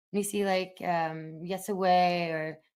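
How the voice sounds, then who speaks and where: Her medium-pitched voice shows ordinary pitch variation as the woman talks. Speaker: podcast co-host. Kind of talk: casual discussion. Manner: halting with many fillers.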